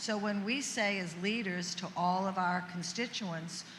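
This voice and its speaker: With a New Orleans accent, a woman speaks at a medium pitch with fairly even intonation in audible room echo. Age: 70s. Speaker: senator. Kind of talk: panel discussion.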